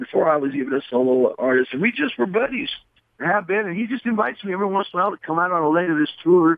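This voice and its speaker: Very fast and high-pitched, a man speaks with very wide pitch swings. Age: 60s. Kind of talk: interview. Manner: halting, many fillers.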